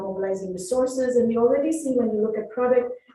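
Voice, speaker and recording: At a very fast pace, a woman speaks with a fairly high pitch and ordinary pitch variation, with audible room echo around her. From India. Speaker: professor and panelist. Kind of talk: panel discussion.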